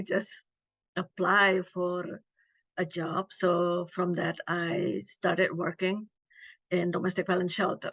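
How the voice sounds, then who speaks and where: Someone talks at a very slow pace in an Indonesian accent. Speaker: domestic violence advocate. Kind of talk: interview.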